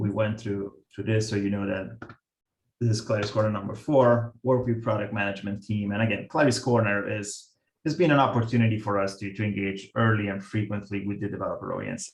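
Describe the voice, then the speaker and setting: A somewhat breathy man with an Italian accent, fairly low in pitch, at a fairly quick pace with fairly even intonation. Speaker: software product manager. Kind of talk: presentation. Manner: halting, many fillers.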